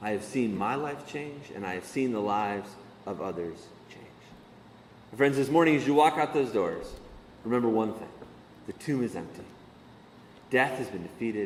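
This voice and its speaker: Amid audible room echo, a man of medium pitch talks at a moderate pace with ordinary pitch variation, big swings in loudness, and long, frequent pauses. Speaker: pastor. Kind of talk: sermon.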